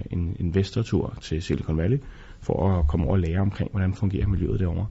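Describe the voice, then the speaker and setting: Somewhat breathy, a man's voice sits at a very deep, low pitch with ordinary pitch variation. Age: 40s. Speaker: business angel investor. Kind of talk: interview.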